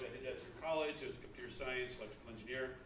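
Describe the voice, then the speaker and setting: Noticeable background noise and audible room echo surround the recording. A man of medium pitch speaks with an American accent. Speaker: startup mentor and business speaker. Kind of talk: talk at a tech meetup. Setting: stage with audience. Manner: loud; hesitant, many fillers and repeats.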